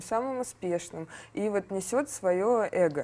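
A woman's unremarkable speaking voice at a fairly slow pace, with ordinary pitch variation. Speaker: interviewer. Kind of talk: interview. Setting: studio.

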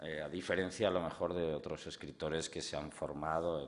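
A man's very deep, low voice with vocal fry. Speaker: guest. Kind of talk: public talk. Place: hall. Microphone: podium.

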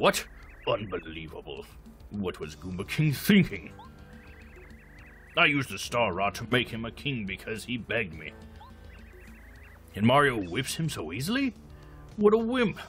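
Doing a put-on character voice at a medium pitch, a man talks at a moderate pace with long, frequent pauses as clear music plays in the background. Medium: game stream. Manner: blustering, irritable.

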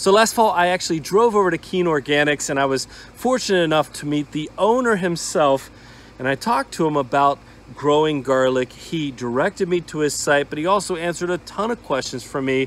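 Talking at a fairly quick pace, a man uses lively intonation in a dry sound with no echo. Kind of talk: casual vlog chat. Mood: upbeat, enthusiastic. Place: garden. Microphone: phone near.

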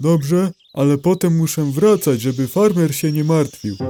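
Over background music, a man performs a cartoonish character voice at a fairly high pitch. His pace is moderate. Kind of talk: children's cartoon voice acting. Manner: meek, gentle.

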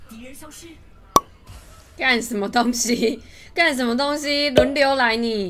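Shouting in an excited tone, a woman speaks at a fairly slow pace with a high pitch and ordinary pitch variation. Music plays in the background. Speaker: game streamer. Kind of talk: live game stream commentary. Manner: excited, shouting. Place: home room.

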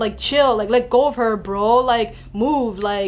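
With faint music in the background, a woman talks at a moderate pace with fairly even intonation. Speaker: vlogger. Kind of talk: casual vlog chat, storytelling. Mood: indignant, recounting harassment.

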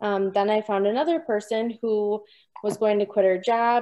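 Fairly even intonation accompanies a moderate pace. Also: woman. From southern Wisconsin. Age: young. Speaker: new mother and dairy farmer. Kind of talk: personal testimony. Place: home room. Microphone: video call.

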